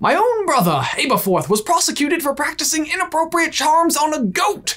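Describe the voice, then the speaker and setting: This put-on character voice sits at a high pitch. It moves along at a fairly quick pace. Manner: shifting voice.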